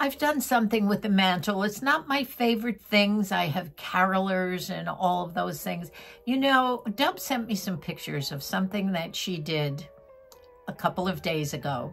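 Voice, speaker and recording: Lively intonation carries the speech at a moderate pace. Faint music plays in the background. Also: woman. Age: 80s+. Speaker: vlogger, retired teacher. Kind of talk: casual chat. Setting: at home. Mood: warm, nostalgic. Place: home room. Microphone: phone near.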